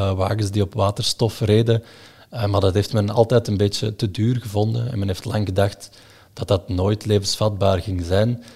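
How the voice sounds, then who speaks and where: On a very clean recording with a silent background, a man speaks at a moderate pace in a fairly low, dark and mellow voice that is somewhat breathy, with fairly even intonation. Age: 20s. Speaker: investment analyst. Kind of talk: explanatory interview. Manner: hesitant, many fillers.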